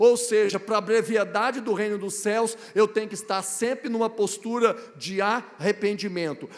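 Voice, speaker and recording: Over noticeable background noise, a man with a high-pitched voice talks at a moderate pace with fairly even intonation. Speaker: guest preacher. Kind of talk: sermon. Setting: church.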